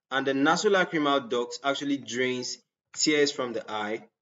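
A man's voice, moderately paced, its pitch varying in an ordinary way. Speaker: anatomy lecturer. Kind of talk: lecture.

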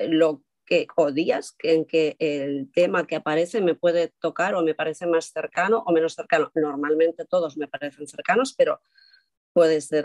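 It's an unremarkable speaking voice from a woman, pitched fairly low. She talks at a fairly slow pace, and the sound is dry and close with no echo. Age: 50s. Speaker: linguist and speech therapist. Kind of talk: testimony.

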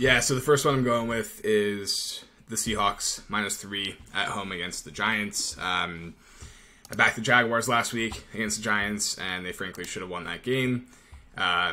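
A man speaks at a fairly slow pace in a plain, everyday voice, his pitch fairly low with ordinary variation. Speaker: betting analyst. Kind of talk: sports betting commentary. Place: home room. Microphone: webcam.

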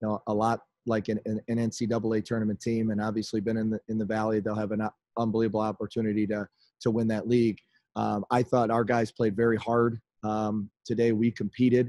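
Over a quiet background, a man speaks in a dark, mellow tone with monotone, flat intonation, and the sound is dry with no echo. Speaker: basketball coach. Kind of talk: press conference answer. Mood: disappointed, measured. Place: home room. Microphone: video call.

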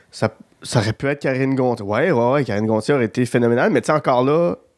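This man's voice sits at a medium pitch with ordinary pitch variation, recorded dry and close with no echo against a very clean, silent background. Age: 30s. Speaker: podcast host. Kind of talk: casual chat.

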